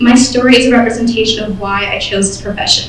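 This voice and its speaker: A woman at a fairly high pitch and fairly quick pace, in a monotone, flat intonation, with audible room echo and noticeable background noise. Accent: American. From Michigan, US. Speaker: nursing student. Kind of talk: prepared speech. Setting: awards ceremony stage.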